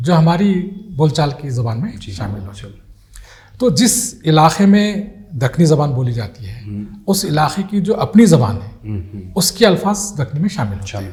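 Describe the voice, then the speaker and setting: A fairly high-pitched man's voice with very wide pitch swings and big swings in loudness, over noticeable background noise. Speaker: retired Urdu professor. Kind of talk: interview answer.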